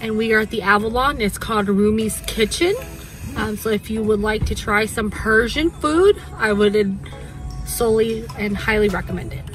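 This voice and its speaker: Over clear music in the background, a woman speaks with ordinary pitch variation in a dry sound with no echo. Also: moderate pace. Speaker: vlogger. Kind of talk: casual vlog chat. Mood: upbeat, satisfied after dinner. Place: car. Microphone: phone near.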